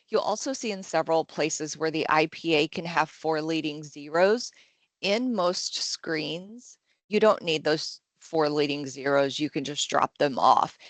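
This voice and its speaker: Speaking at a fairly slow pace, a woman uses a very deep, low pitch with ordinary pitch variation. The sound is dry and close with no echo, and the background is quiet. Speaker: software trainer. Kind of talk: tutorial.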